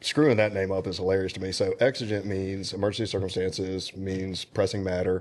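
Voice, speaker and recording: With an American accent, a man speaks at a fairly quick pace in a very deep, low voice, hardly pausing at all. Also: fairly even intonation, quiet background. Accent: Southern US, gets stronger as he talks. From Alabama. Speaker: suppressor company representative. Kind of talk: casual podcast chat.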